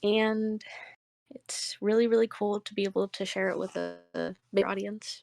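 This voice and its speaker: Over music in the background, a woman talks at a moderate pace in a dry, close sound with no echo. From United States. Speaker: game co-writer and artist. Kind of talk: interview.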